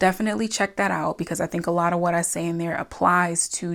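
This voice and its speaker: On a very clean recording with a silent background, a woman with a normal speaking voice talks fairly quickly at a fairly low pitch with fairly even intonation. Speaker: self-improvement and crystal content creator. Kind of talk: casual talk to camera. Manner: friendly, conversational, motivational pep talk.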